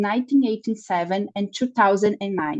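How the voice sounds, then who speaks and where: A woman speaks at a medium pitch in a dark, mellow tone. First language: Portuguese. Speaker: nutrition researcher. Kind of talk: lecture. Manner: slow; halting.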